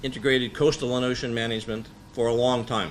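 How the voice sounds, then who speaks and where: The speaker is a man with an American accent. Audible room echo surrounds his voice. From United States. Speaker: marine policy expert, conference speaker. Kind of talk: conference presentation. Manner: loud; hesitant, many filler words.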